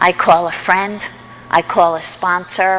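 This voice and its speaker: Music plays behind a woman as she talks. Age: 60s. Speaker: recovery meeting speaker. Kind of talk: testimony.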